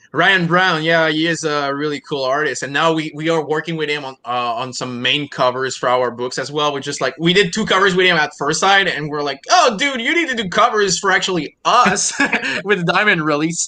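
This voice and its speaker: Someone speaks fairly quickly in a French Canadian accent, with hardly any pauses and ordinary pitch variation. Noticeable background noise runs underneath. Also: man, fairly high pitch for a man. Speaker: comic publisher and creator. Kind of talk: casual interview.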